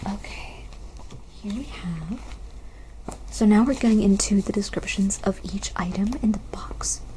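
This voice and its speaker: Over noticeable background noise, a soft-spoken voice with a gentle tone talks at a moderate pace. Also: woman. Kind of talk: ASMR unboxing, soft-spoken talk to camera. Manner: soft-spoken, gentle.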